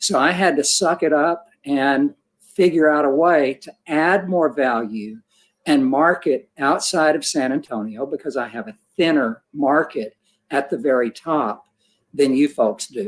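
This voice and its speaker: In a very clean recording with a silent background, a man with a normal speaking voice and fairly high pitch talks at a fairly slow pace with ordinary pitch variation. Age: 60s. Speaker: portrait photographer. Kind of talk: panel discussion. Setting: livestream.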